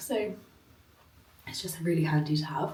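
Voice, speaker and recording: Over noticeable background noise and audible room echo, a woman with a British accent speaks with ordinary pitch variation. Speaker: travel vlogger. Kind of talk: vlog. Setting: hotel room. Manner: casual, filler-heavy.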